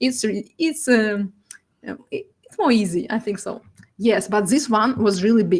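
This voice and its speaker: Speaking at a moderate pace, a woman with a Russian accent uses a fairly high pitch and lively intonation. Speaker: data artist. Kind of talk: presentation. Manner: halting.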